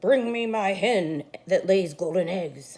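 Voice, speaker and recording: A put-on character voice, raspy and bellowing, at middle pitch and a fairly slow pace. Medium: read story. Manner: roaring.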